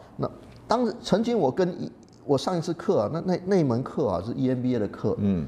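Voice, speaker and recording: Marked by vocal fry, a man's dark, mellow voice moves at a moderate pace with very wide pitch swings. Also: fairly high pitch for a man. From Malaysia. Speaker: professor. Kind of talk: interview.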